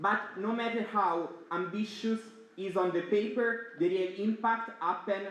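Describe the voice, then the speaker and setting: Loud and high-pitched, a man talks at a moderate pace with ordinary pitch variation. Room echo is audible, and there is noticeable background noise. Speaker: student network board member. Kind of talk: opening speech. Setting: stage with audience.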